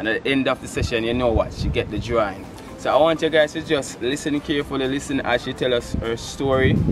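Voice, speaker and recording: Over clear background music, a man with a Jamaican accent talks very fast, the sound dry with no echo. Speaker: vlogger and portrait artist; vlogger host. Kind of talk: casual vlog talk. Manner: animated. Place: garden. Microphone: camera far.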